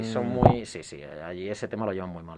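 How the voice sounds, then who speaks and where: A man at a very fast pace with ordinary pitch variation, amid noticeable background noise. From Spain, Castile (Salamanca/Valladolid). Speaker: former exchange student. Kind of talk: casual chat.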